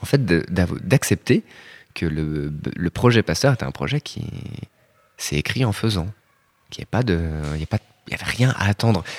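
Very slowly, with long, frequent pauses, a man speaks in a very deep, low pitch that swings very widely, on a dry, close recording with no echo, very clean with a silent background. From Rennes, France. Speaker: architect. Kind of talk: interview.

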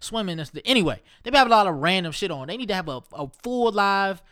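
A man's high-pitched voice with a bright, sharp tone and an American accent, at a fairly quick pace, on a very clean recording with a silent background. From Ohio. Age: 30s. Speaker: podcast host. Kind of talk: casual monologue. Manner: animated.

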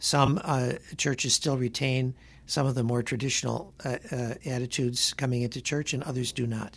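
Against a quiet background, a man speaks with a medium pitch and a somewhat breathy voice. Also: fairly even intonation, moderate pace. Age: 70s. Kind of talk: radio Q&A on faith. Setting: radio studio. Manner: halting, many fillers.

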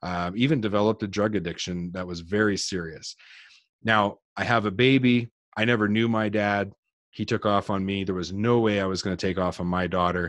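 A man with a Canadian accent, a normal speaking voice, fairly low pitch, fairly even intonation and a fairly quick pace, against a quiet background. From New Brunswick, Canada. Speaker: business coach. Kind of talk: interview.

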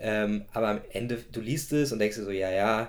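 A man speaks at a fairly slow pace in an unremarkable speaking voice, fairly low in pitch with ordinary pitch variation. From Germany, Gießen (central Hesse). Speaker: startup founder. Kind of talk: interview. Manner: many filler sounds.

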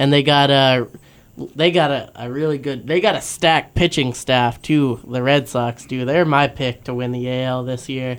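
In a plain, everyday voice, a man speaks at a moderate pace and medium pitch on a very clean recording with a silent background. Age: 20s. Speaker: sports podcast co-host. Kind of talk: casual chat. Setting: studio.

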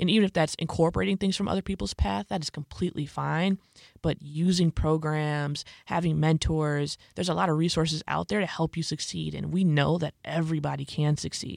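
A fairly quick American accent on a very clean recording with a silent background. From Illinois, Chicago suburbs. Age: 20s. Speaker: podcast host. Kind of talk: casual chat; scripted narration.

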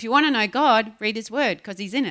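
A woman speaks at a fairly high pitch, her tone bright and sharp. Her intonation is lively and animated, on a very clean recording with a silent background. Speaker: preacher. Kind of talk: sermon. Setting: church. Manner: animated, laughing often.

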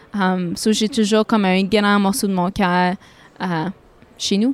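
On a very clean recording with a silent background, a woman speaks in a strong northern Ontario accent at a very slow pace. Her pitch is medium, and her intonation is fairly even. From Sudbury, northern Ontario. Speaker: singer-songwriter. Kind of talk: interview.

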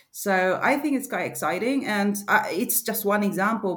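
A woman with a Spanish accent, lively intonation and a moderate pace, against noticeable background noise. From Argentina. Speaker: e-commerce advisor. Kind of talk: interview. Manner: halting.

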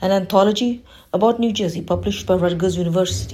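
A woman with a dark, mellow tone and vocal fry speaks at a medium pitch and a moderate pace, with ordinary pitch variation. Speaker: library program presenter. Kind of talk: scripted announcements.

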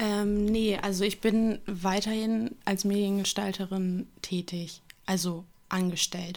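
Very slow and monotone, with flat intonation, a woman speaks in a very clean recording against a silent background. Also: medium pitch for a woman. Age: 20s. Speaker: model and media designer. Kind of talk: casual interview. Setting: studio office, two mics.

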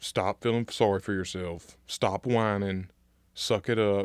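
A man's fairly low voice in a Mississippi accent, at a moderate pace. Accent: Southern US (Mississippi). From US South, Natchez, Mississippi. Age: 20s. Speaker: project manager. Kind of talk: casual interview chat. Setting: studio. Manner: animated.

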